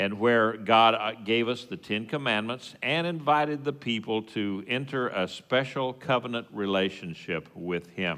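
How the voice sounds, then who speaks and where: A man with a West Texas accent talks at a fairly slow pace with hardly any pauses, in a bright, sharp tone. His medium-pitched voice has lively intonation. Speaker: congregation teacher. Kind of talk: sermon. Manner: halting, many fillers.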